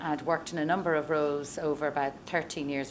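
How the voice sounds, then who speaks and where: In an Irish accent, a woman speaks with very deep, low pitch and fairly even intonation, with audible room echo. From Ireland, Dublin. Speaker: venture investor. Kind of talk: conference talk. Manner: many fillers (um, uh).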